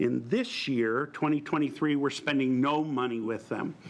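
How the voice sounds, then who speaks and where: A man is talking. His pitch varies in an ordinary way. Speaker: chief financial officer presenting to a board. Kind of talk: formal presentation. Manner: loud.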